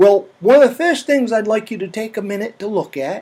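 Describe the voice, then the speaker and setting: On a very clean recording with a silent background, a man with a Maine accent speaks at a high pitch. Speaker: storyteller, comedian. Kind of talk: comedic storytelling to an audience, tall tale. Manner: folksy, chatty, humorous.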